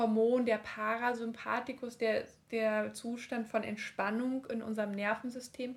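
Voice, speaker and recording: The woman's pitch is fairly high. She speaks at a fairly slow pace with monotone, flat intonation. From eastern Germany (Leipzig). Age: 30s. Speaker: midwife. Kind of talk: casual interview.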